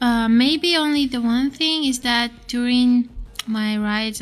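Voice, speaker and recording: Music plays behind the voice. The speaker is a woman. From Russia. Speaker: university student. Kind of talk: casual chat. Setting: studio.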